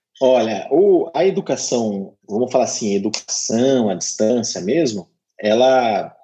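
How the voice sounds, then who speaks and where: A dark, mellow tone at a fairly slow pace with ordinary pitch variation. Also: man, medium pitch for a man. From Curitiba, southern Brazil. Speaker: university marketing director. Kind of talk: interview.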